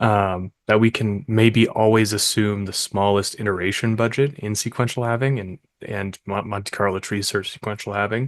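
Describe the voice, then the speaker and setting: Soft-spoken and at a moderate pace, a man with fairly low pitch and fairly even intonation talks with hardly any pauses over a quiet background. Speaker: paper co-author presenting research. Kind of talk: conference talk. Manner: hesitant, many fillers.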